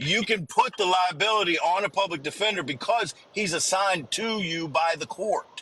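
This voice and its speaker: Over noticeable background noise, a man with a high pitch projects a raised voice at a moderate pace with hardly any pauses. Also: ordinary pitch variation. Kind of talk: casual chat. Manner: loud.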